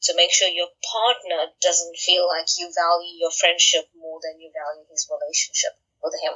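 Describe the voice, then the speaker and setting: In a South African accent, a woman speaks at a moderate pace. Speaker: author and friendship coach. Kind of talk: interview.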